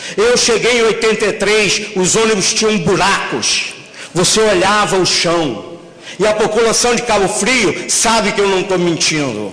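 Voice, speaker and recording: With audible room echo and noticeable background noise, a man talks in an animated, high-pitched voice at a fairly slow pace, his loudness very even. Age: 60s. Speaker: bus company executive. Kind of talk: public hearing speech.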